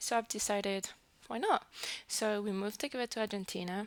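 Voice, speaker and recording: With a French accent, a woman speaks at a moderate pace in a medium pitch, keeping her intonation fairly even. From New Caledonia. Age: 20s. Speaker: early childhood educator. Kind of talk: casual vlog introduction. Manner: hesitant, with fillers.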